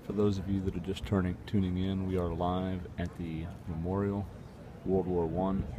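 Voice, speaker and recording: This soft-spoken man has a very deep, low pitch and monotone, flat intonation. He speaks at a moderate pace, and audible room echo surrounds his voice. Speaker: livestream host. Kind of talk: live outdoor commentary. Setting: outdoors at memorial.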